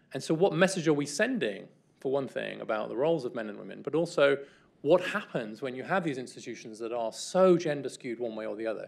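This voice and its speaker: Talking at a very fast pace, a man uses lively intonation and vocal fry, with big swings in loudness. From England. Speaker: guest lecturer. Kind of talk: lecture. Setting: stage with audience. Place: hall. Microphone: podium.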